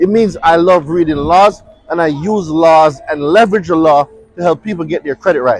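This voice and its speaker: Amid crowd noise in the background, a high-voiced man with a Jamaican accent speaks at a moderate pace in an animated tone with lively intonation. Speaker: consumer law expert. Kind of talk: motivational talk. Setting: outdoors.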